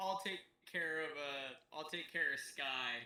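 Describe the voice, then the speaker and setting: A put-on character voice at a middle pitch and a fairly slow pace. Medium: actual play. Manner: anxious, excitable.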